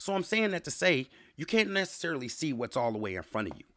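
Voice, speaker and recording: In a very clean recording with a silent background, a speaker with an American accent talks at a fairly quick pace in an animated tone with vocal fry and very wide pitch swings. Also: man. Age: 30s. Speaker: podcast host. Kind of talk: solo monologue podcast.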